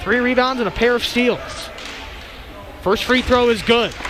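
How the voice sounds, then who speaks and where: This man's pitch is extremely high, and he speaks at a fairly slow pace. Noticeable background noise sits behind him. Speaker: radio sports play-by-play announcer. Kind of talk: live basketball play-by-play commentary.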